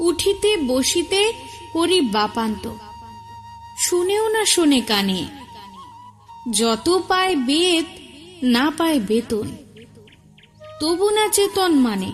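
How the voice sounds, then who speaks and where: A woman's extremely high voice with very wide pitch swings and very even loudness, music in the background. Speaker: poetry reciter. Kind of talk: poetry reading.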